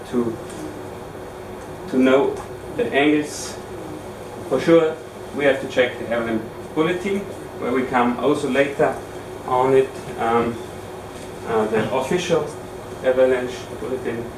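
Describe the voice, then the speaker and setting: A man with an Austrian accent at a medium pitch, ordinary pitch variation and a fairly slow pace with long, frequent pauses, amid noticeable background noise and audible room echo. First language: German. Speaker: ski instructor trainer. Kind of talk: lecture. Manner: halting.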